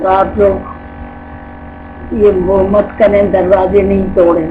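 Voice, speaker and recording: The intonation is monotone and flat. Background noise is noticeable. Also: woman. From Delhi, India. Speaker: grandmother, Partition survivor. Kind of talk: oral history interview answer.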